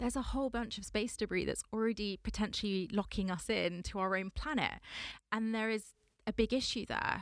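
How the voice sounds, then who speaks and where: In a very clean recording with a silent background, a woman talks fairly quickly with a London accent. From Southwest London. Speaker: space sector entrepreneur. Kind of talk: interview. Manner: animated.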